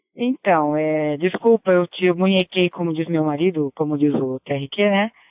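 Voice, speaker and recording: A woman speaks in a normal speaking voice at a moderate pace. Her pitch is fairly low, with ordinary pitch variation. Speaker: ham radio operator. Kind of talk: radio net chat. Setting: amateur radio (DMR).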